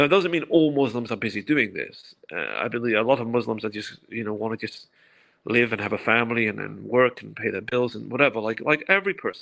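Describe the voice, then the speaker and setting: On a very clean recording with a silent background, a man talks very fast at medium pitch with vocal fry, a bright, sharp tone, lively intonation and big swings in loudness. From England, London. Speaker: activist commentator. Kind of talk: podcast interview. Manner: fast, repeating words.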